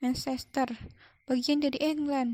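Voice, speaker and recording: A woman's put-on, gruff character voice, high-pitched, with monotone, flat intonation and a fairly slow pace. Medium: read story. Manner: gruff, stern.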